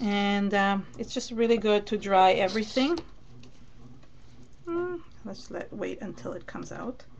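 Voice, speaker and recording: There is noticeable background noise. A woman speaks with a fairly high pitch. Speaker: mixed media crafter. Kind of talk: live craft tutorial. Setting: live stream. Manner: mumbling to herself at times.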